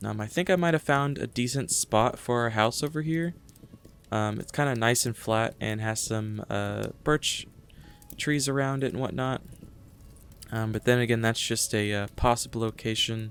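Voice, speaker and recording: With music in the background, a man speaks at a moderate pace in a medium pitch with ordinary pitch variation. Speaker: gaming video creator. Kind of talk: let's play commentary. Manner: halting, many fillers.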